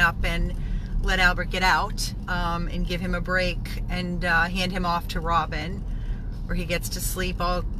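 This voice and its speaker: Noticeable background noise accompanies a woman talking at a moderate pace, the sound dry with no echo. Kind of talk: casual vlog update. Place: car. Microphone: phone near.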